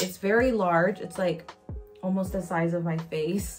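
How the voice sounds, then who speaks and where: Fairly slow and with fairly even intonation, the voice is heard over clear music in the background. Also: woman. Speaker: beauty vlogger. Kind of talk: casual product review vlog. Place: home room. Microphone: phone near.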